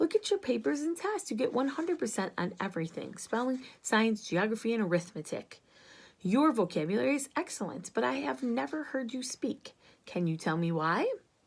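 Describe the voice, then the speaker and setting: A woman puts on a raspy character voice at a fairly high pitch. She moves at a fairly quick pace, and her pitch swings very widely. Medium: read story. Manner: firm, clipped.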